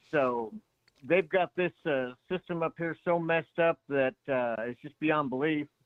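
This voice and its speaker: This is an ordinary speaking voice from a man, fairly high in pitch. He goes at a fairly slow pace with ordinary pitch variation. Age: 60s. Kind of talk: phone call-in conversation.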